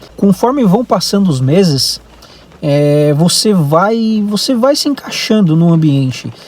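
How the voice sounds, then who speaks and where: With a Brazilian accent, a man speaks at a fairly slow pace. His intonation is lively. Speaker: vlogger. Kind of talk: casual vlog monologue. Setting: in a car. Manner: hesitant, many fillers.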